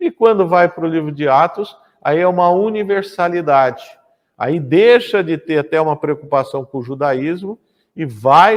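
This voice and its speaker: Speaking at a fairly slow pace, a man has a high-pitched voice. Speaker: pastor teaching Bible class. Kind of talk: lecture.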